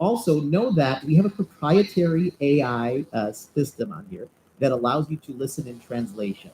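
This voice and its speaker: With a Chicago accent, a man talks in a dark, mellow tone that is somewhat breathy, his intonation lively. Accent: American, Chicago. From US Midwest (Chicago). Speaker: entrepreneur and webinar presenter. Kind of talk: live webinar presentation. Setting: live video webinar. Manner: fast; animated.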